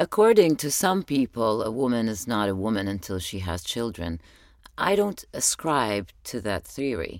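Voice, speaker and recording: A woman with an Arabic accent speaks at a moderate pace in a very deep, low voice with very wide pitch swings. The recording is very clean, with a silent background. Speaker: podcast host. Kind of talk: personal spoken journal monologue.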